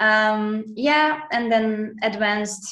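Someone speaks in a Hungarian accent with ordinary pitch variation. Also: woman. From Hungary. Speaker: dancer and architect. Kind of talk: casual chat. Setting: video call.

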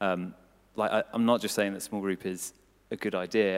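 A fairly low male voice with fairly even intonation, in a very clean recording with a silent background. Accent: southern English. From England, Cambridgeshire. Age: 20s. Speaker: church staff member and volunteer. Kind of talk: testimony in church interview. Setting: church service with audience.

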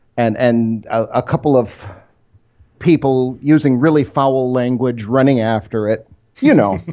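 A man speaks at a medium pitch with an Upper Midwest accent. His pace is fairly slow, with ordinary pitch variation. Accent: Upper Midwest American. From Michigan (Rochester, near Detroit). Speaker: technical author. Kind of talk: interview.

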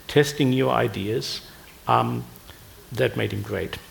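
A man with a German accent speaks at a fairly slow pace. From Germany. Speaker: retired physics professor. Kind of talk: panel discussion.

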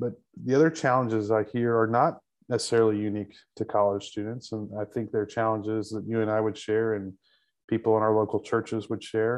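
Speaking at a fairly quick pace with an American accent, a man uses a medium pitch and a flat, monotone delivery against a quiet background. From Texas Panhandle. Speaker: campus pastor. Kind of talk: interview conversation.

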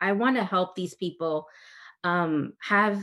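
A woman with an unremarkable speaking voice talks in an American accent at a medium pitch and a moderate pace, with ordinary pitch variation. The background is quiet. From US, Dominican family. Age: 30s. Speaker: interior designer and property manager. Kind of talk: casual interview.

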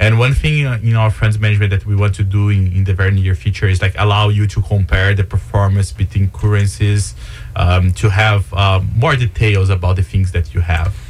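Noticeable background noise surrounds a man whose voice is fairly low in pitch. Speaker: startup co-founder and CEO. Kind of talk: interview answers, explaining a product. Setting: studio.

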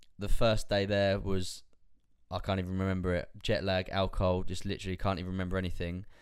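Very deep and low, a man's monotone, flat voice races along at a very fast pace. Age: 20s. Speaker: fitness coach and podcast host. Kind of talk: casual chat.

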